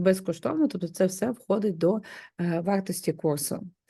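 A woman speaks at a moderate pace and a medium pitch, her dark, mellow tone rising and falling in an ordinary way against a quiet background. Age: 30s. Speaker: home organizing coach. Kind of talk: course promo talk.

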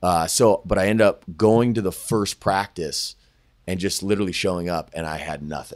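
In a dry recording with no echo and a quiet background, a man with an American accent speaks at a fairly low pitch, with ordinary pitch variation and an unremarkable speaking voice. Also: moderate pace. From California (Sacramento, Thousand Oaks). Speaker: sports agent. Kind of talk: casual interview chat. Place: office. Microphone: studio mic.

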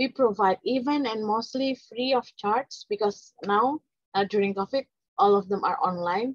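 A woman with an Indonesian accent talks at a fairly slow pace in a fairly high pitch with ordinary pitch variation. The sound is dry with no echo, and the background is quiet. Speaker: scientific journal management advocate; guest. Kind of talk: presentation. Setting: video call. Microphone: video call.

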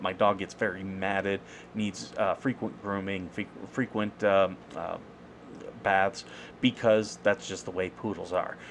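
Over light background noise, a man speaks at a moderate pace with a fairly low pitch and fairly even intonation. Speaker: veteran with a service dog. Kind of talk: casual commentary to camera. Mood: aggrieved but calm. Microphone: webcam.

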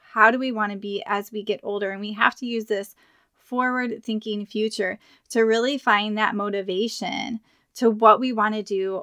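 In a quiet background, a woman with an unremarkable speaking voice talks at a moderate pace and fairly high pitch, with fairly even intonation. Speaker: podcast host and health coach. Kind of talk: podcast intro read.

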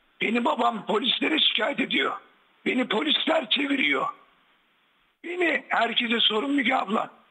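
Long, frequent pauses break up this moderate-paced speech, which has lively intonation and very even loudness. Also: man, extremely high pitch for a man. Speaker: caller, son of the guest. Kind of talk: heated phone-in argument. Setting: phone call. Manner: agitated.

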